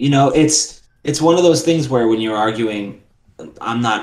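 Talking at a moderate pace, a man speaks with an American accent. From New York City, Queens. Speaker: lawyer. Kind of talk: casual chat.

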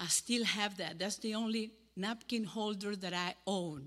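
A woman with a Cuban accent talks at a medium pitch with fairly even intonation. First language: Spanish.

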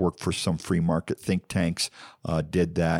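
A man in an American accent, dry and close with no echo, on a very clean recording with a silent background. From Ohio. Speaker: county clerk. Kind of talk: casual interview conversation.

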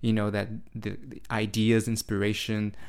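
At a moderate pace, a man speaks in a fairly low voice on a very clean recording with a silent background. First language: Portuguese. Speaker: spiritual podcast host and meditation teacher. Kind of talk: solo podcast monologue. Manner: hesitant, with fillers and restarts.

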